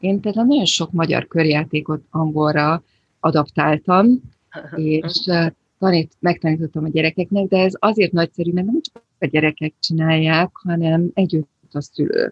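A woman's fairly low voice at a fairly slow pace, with fairly even intonation. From Hungary, Budapest. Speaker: Hungarian emigrant, volunteer shop worker and community school teacher. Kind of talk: casual interview chat. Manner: repeats words, hesitant.

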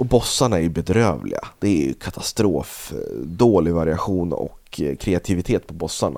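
With a dark, mellow tone and vocal fry, a man talks at a moderate pace in a very deep, low voice with lively intonation. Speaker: video game podcast co-host. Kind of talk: casual chat. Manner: yawning.

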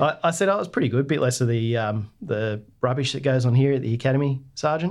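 Speaking very fast with hardly any pauses, a man in an Australian accent keeps a medium pitch and ordinary pitch variation. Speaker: navy veteran. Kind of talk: interview.

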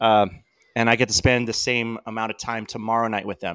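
This is an unremarkable speaking voice. A man talks at a moderate pace and medium pitch. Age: 40s. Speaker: combat veteran and costume builder. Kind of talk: casual chat.

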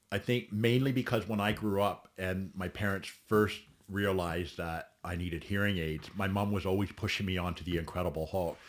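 Very deep and low, a man's voice moves at a moderate pace with fairly even intonation and hardly any pauses, in a very clean recording with a silent background. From Ontario, Canada (Caledon). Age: 40s. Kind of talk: casual chat.

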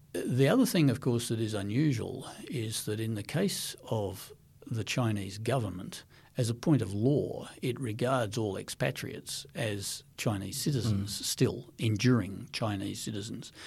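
A man with an Australian accent speaks at a fairly slow pace. His voice is medium in pitch and somewhat breathy. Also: ordinary pitch variation. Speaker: former intelligence agency director. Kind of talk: interview. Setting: studio.

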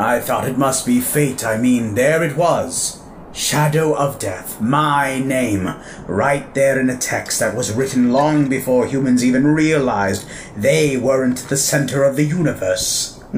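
In a put-on character voice, a man talks at a fairly slow pace and medium pitch over clear background noise. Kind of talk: audio drama acting. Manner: wry, theatrical, self-satisfied.

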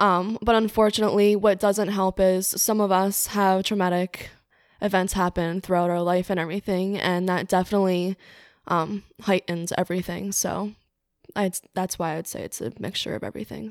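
A woman's unremarkable speaking voice at medium pitch with an American accent, moderate in pace and fairly even in intonation, with a dry, close sound and no echo on a very clean recording with a silent background. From New Jersey, Cape May. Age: 20s. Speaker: interior design worker. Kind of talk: casual chat.

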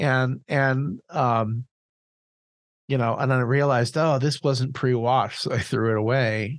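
A man has an unremarkable speaking voice at medium pitch, with fairly even intonation and very even loudness. He talks at a fairly slow pace against a quiet background. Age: 40s. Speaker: podcast co-host. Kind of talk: casual chat.

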